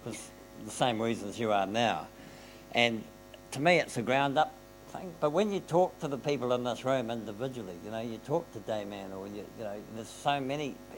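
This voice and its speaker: With music in the background, a man speaks in a New Zealand accent at a medium pitch, his intonation lively and his loudness swinging widely. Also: moderate pace. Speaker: panelist. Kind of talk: panel discussion. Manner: animated.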